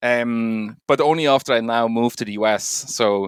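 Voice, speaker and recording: A man speaks with a Swiss accent. The sound is dry and close with no echo, in a very clean recording with a silent background. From Switzerland. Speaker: bitcoin tech expert. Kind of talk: podcast interview. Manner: hesitant, many filler ums.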